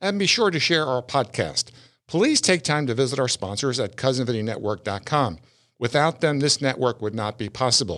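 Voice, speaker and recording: A man speaks at a moderate pace with medium pitch and lively intonation. The recording is very clean, with a silent background. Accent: American. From Florida. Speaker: podcast host. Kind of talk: casual interview. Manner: blunt, informal.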